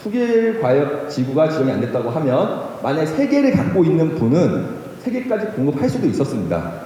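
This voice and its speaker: This voice swings very widely in pitch and moves at a fairly quick pace, with audible room echo and noticeable background noise around it. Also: man, fairly high pitch for a man. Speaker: lawyer. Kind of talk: lecture. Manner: halting.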